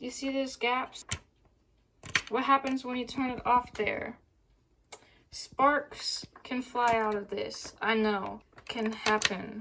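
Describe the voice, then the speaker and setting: High in pitch with ordinary pitch variation, a woman speaks at a very slow pace. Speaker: vacuum cleaner reviewer. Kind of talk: casual product review to camera.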